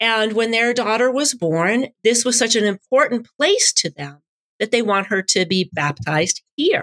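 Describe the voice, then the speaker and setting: On a dry, close recording with no echo, a woman with an American accent uses an ordinary speaking voice, fairly high in pitch, with lively intonation at a fairly slow pace. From suburban Boston. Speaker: pastor. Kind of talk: interview.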